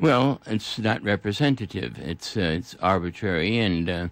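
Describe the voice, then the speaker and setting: Lively intonation marks this man's speech. He has an American accent and keeps a moderate pace. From Brooklyn, New York. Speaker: retired geography professor and author. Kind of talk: radio interview answer.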